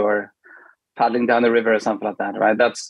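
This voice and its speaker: A man speaks with a Swedish accent. His pitch is medium. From Sweden. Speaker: product manager. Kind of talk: casual interview. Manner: hesitant, many fillers.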